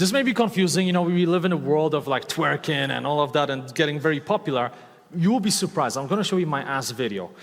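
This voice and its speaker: A man with a slight Eastern European accent talks at a fairly quick pace in an animated tone with lively intonation. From Poland. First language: Polish. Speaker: motivational speaker and online course creator. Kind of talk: talk to a live audience. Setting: stage with audience. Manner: loud.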